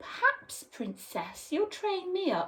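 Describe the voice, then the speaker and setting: An extremely high-pitched put-on character voice at a fairly slow pace. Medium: read story.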